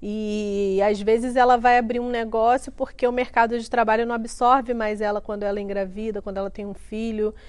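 Against a quiet background, a woman with a fairly high pitch speaks at a moderate pace. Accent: Rio de Janeiro. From Rio de Janeiro, Brazil (Duque de Caxias). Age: 30s. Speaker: entrepreneur and author. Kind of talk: interview testimony.

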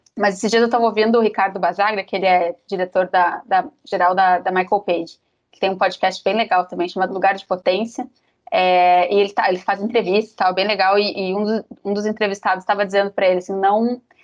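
Racing at a very fast pace, a woman with a medium pitch talks in a monotone, flat intonation with big swings in loudness. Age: 30s. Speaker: HR manager. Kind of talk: casual chat.

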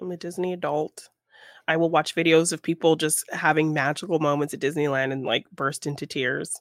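At a fairly quick pace, a woman speaks with a very deep, low pitch, the sound dry and close with no echo on a very clean recording with a silent background. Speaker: podcast co-host and artist. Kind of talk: casual chat and film review. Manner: giggly, often laughing.

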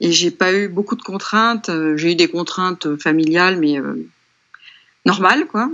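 A woman speaks with lively intonation, leaving long, frequent pauses. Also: medium pitch for a woman, fairly slow pace. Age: 50s. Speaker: painter. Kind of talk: interview. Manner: halting.

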